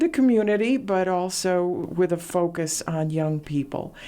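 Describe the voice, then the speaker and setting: A woman speaks with a Latvian accent. Her tone is dark and mellow, and her pace fairly slow. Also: very clean recording, silent background. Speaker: radio host. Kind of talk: interview.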